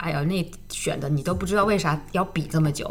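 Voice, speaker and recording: There is audible room echo and noticeable background noise. A woman with a fairly low pitch talks at a moderate pace with ordinary pitch variation. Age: 30s. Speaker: dance teacher and studio founder. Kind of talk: casual interview. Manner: halting, many filler sounds.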